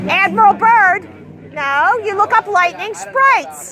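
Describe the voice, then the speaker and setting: Over crowd noise, a woman uses a raised, projected voice with an animated tone and lively intonation. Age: 60s. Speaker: street activist. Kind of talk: street debate.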